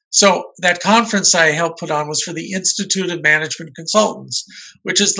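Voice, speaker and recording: Fairly quick in pace, a man speaks in a high voice. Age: 60s. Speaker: marketing author and journalist. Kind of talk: podcast interview.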